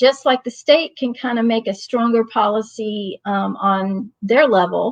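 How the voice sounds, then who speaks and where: In an American accent, a woman with a normal speaking voice and fairly high pitch talks at a fairly slow pace, her pitch varying in an ordinary way. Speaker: training facilitator, community parent advocate. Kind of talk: online training presentation. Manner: informal with many fillers.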